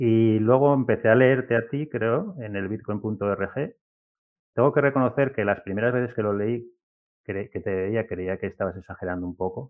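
Using a normal speaking voice, a man holds a moderate pace and a medium pitch, with ordinary pitch variation. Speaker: software developer and platform founder. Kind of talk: interview.

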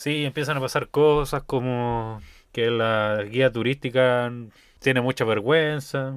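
A man speaks very slowly with a Chilean accent and fairly even intonation. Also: medium pitch for a man. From Chile, Rancagua. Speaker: podcast co-host. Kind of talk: casual chat.

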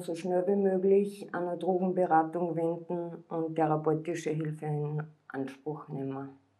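A woman with an unremarkable speaking voice and a fairly low pitch talks at a moderate pace. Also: hardly any pauses, big swings in loudness. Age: 40s. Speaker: former drug addict. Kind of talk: interview testimony.

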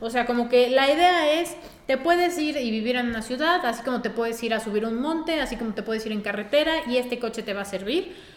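A woman talks very fast and high, with hardly any pauses and lively intonation. Room echo is audible. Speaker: car podcast co-host. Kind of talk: casual chat.

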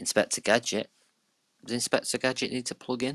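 A man talks in a British accent. The sound is dry and close, with no echo. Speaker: podcast host. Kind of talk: casual chat.

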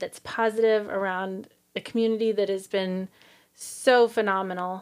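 The speaker uses monotone, flat intonation at a moderate pace, with an American accent. The recording is very clean with a silent background. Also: woman. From US Midwest, Kansas City area. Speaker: podcast host. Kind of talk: casual chat.

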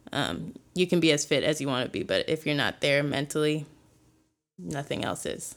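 A woman's very deep, low voice with vocal fry and an American accent, at a moderate pace. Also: ordinary pitch variation, very clean recording, silent background. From Chicago area, US Midwest. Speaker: college student. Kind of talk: casual interview, telling her story.

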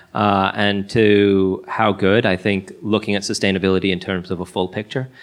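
An ordinary speaking voice from a man, fairly low in pitch, at a moderate pace against a quiet background. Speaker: food tech company CEO. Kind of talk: live panel interview. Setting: stage with audience.

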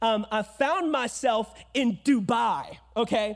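An animated man at an extremely high pitch, in a very clean recording with a silent background. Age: 20s. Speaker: preacher. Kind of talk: sermon. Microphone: echo on mic.

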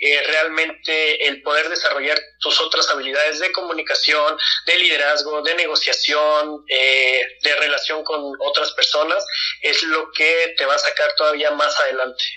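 A man talks at a fairly slow pace with very even loudness. Noticeable background noise runs underneath. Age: 20s. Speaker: mechatronics engineer. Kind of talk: casual interview chat. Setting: video call.

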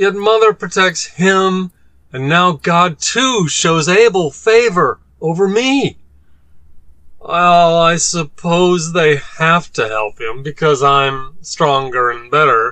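Putting on a whiny character voice, a man speaks very slowly at a high pitch with lively intonation. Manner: whiny, petulant, self-pitying.

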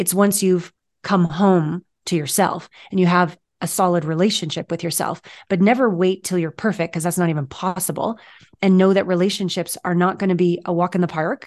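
Here is a woman with a plain, everyday voice, fairly low in pitch, at a fairly quick pace. Her intonation is fairly even, and the background is quiet. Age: 50s. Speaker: intimacy coach and author. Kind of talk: casual interview chat.

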